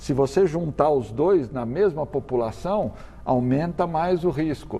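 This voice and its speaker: Somewhat breathy and dark and mellow in tone, a man's fairly high voice moves with lively intonation at a fairly slow pace. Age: 60s. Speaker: cardiologist and medical professor. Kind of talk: TV interview. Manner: halting with repetitions.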